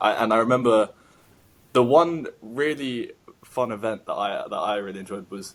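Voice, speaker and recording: A man with a London accent at medium pitch and a moderate pace, with ordinary pitch variation. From London, England. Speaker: podcast host. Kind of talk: casual interview chat.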